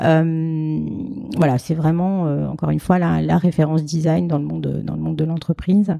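Over noticeable background noise, the speech moves at a fairly slow pace with hardly any pauses. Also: woman. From France, Alsace (Strasbourg). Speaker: fundraising manager. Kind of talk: interview. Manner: hesitant.

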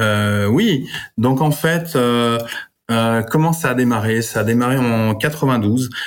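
A man speaks at a very slow pace with very even loudness and ordinary pitch variation. Audible room echo surrounds his voice. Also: medium pitch for a man. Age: 40s. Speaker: family office manager. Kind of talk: interview. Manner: halting.

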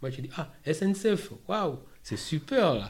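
Somewhat breathy, a man speaks fairly slowly with ordinary pitch variation. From DR Congo, Kinshasa. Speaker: asylum seeker turned employee. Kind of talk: testimony. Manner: halting.

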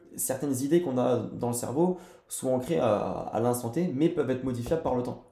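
Noticeable background noise behind a man's fairly high-pitched voice at a moderate pace. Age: 20s. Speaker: entrepreneur. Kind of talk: casual chat. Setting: in person recording.

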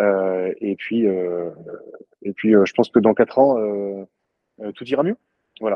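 Very slow and broken by long, frequent pauses, a man speaks at a fairly low pitch with fairly even intonation and big swings in loudness. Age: 30s. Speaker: CrossFit gym owner. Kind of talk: interview. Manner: halting, many fillers.

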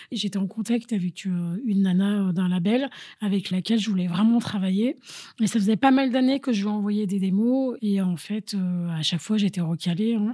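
A woman's somewhat breathy, dark and mellow voice, medium in pitch, with ordinary pitch variation. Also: moderate pace. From Paris, France. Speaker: DJ and kickboxing teacher. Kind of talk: interview testimony.

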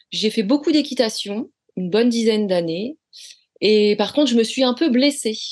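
A woman is speaking. The background is quiet. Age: 40s. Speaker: flight attendant. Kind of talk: interview. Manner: halting.

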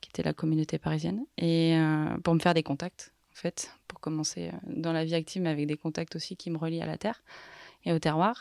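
In a normal speaking voice, a woman talks with fairly even intonation and a fairly low pitch, the sound dry and close with no echo on a very clean recording with a silent background. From Haute-Savoie, French Alps. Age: young. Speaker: business consultant. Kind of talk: interview.

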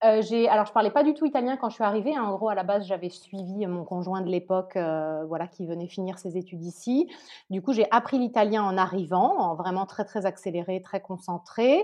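In a plain, everyday voice, a woman speaks with ordinary pitch variation. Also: medium pitch for a woman, fairly quick pace. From southern France, Nice. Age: 30s. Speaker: entrepreneur. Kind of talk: interview.

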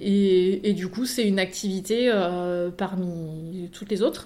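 A woman's medium-pitched voice carries a dark, mellow tone. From Paris region (Yvelines). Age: 30s. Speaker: consultant and trainer, entrepreneur. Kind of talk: casual interview.

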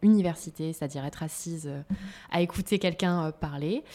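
Lively intonation marks a woman's ordinary speaking voice, delivered at a moderate pace in a very clean recording with a silent background. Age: 30s. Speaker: entrepreneur in children's activities. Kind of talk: interview.

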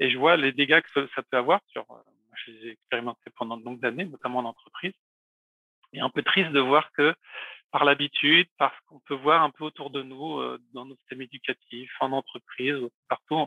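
Speaking at a moderate pace, a man with a fairly high pitch keeps his intonation fairly even, while his loudness swings widely and he leaves long, frequent pauses. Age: 40s. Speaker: communication trainer. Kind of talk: interview conversation. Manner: hesitant, with many fillers.

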